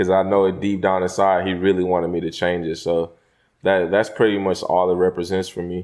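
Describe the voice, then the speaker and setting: A man with a slight Southern US accent speaks in a very deep, low voice. His intonation stays monotone and flat. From Houston, Texas. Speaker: rapper. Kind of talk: interview. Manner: hesitant, filler-heavy.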